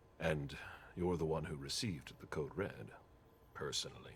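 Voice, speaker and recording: A man puts on a character voice, very deep and low, speaking at a moderate pace over clear background noise. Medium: video game. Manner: terse, controlled.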